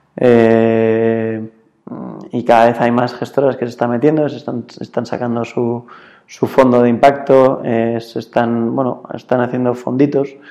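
The speaker is a man with monotone, flat intonation. He goes at a fairly slow pace. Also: medium pitch for a man. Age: 20s. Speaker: impact investor. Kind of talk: interview. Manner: halting, many fillers.

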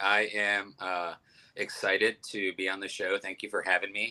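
A man with a Midwestern American accent at a moderate pace. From Ohio, Youngstown. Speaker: restaurant owner and chef. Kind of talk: interview.

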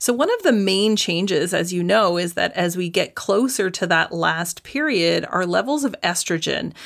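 A woman speaks at a medium pitch with some vocal fry. Her pace is moderate and her pitch variation ordinary. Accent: Canadian. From Canada. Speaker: dietitian and naturopathic doctor. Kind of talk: interview.

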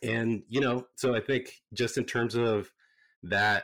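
The recording is very clean with a silent background. A man with an American accent speaks at a fairly slow pace. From San Jose, California. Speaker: basketball fan and T-shirt business owner. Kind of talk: casual chat.

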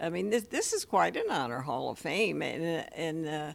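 A woman speaks at a fairly slow pace in a fairly low pitch, with vocal fry. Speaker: widow of a baseball figure. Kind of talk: interview.

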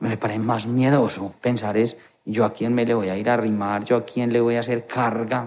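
Speaking at a moderate pace, a man uses a medium-pitched voice with monotone, flat intonation. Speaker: nurse. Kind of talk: interview testimony.

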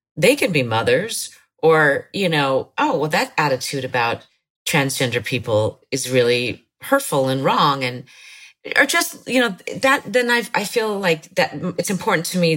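A woman speaks at a moderate pace in a very deep, low voice. Her pitch swings very widely. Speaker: TV showrunner and former actress. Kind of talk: casual interview chat.

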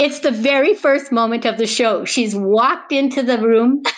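A woman with a Canadian accent speaks at a high pitch and a moderate pace, with ordinary pitch variation and an animated tone. Noticeable background noise can be heard. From Canadian prairies. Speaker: stage actress and theatre teacher. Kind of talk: interview. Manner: animated, emotional.

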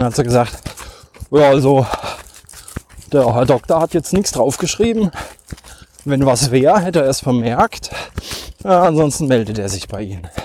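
A man talks at a moderate pace with very wide pitch swings and long, frequent pauses. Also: medium pitch for a man. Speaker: podcast host, trail runner. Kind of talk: solo monologue while running. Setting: outdoors in a forest. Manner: halting, many fillers.

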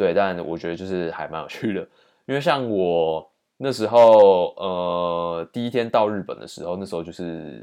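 In a Taiwanese accent, a man speaks at a fairly slow pace against a quiet background. His pitch is fairly low, with ordinary variation. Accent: Taiwanese Mandarin. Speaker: podcast host, exchange student. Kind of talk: solo storytelling monologue.

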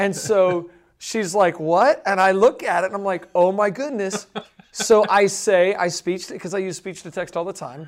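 A man speaks in an American accent at a moderate pace with a high pitch. His pitch variation is ordinary, with big swings in loudness. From US South. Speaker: podcast co-host. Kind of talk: casual Q&A chat about Bible questions.

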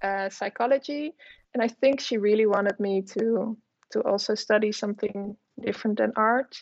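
A woman with a Dutch accent, fairly even intonation and a moderate pace. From Netherlands. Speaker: artist and illustrator. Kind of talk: interview. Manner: hesitant, many fillers.

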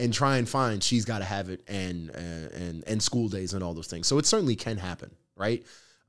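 On a very clean recording with a silent background, a man with an unremarkable speaking voice talks at a fairly quick pace and a fairly low pitch, with ordinary pitch variation. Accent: American. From New York (Nyack, north of New York City). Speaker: tech startup founder. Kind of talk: interview conversation. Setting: studio.

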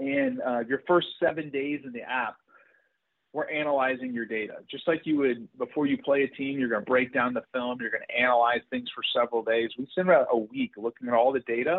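Moving at a fairly quick pace, a man uses an unremarkable speaking voice at medium pitch with ordinary pitch variation. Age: 40s. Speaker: sports performance scientist and app founder. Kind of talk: interview.

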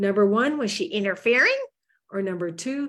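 Somewhat breathy and fairly high-pitched, a woman speaks with lively intonation in a very clean recording with a silent background. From Manitoba, Canada. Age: 60s. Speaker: farm family coach. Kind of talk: interview, coaching advice. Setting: Facebook Live video interview.

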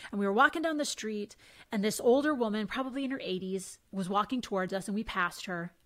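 With lively intonation and a fairly high pitch, a woman talks at a very fast pace. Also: very clean recording, silent background. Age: 40s. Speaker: women's empowerment coach and former sports reporter. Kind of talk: casual interview chat.

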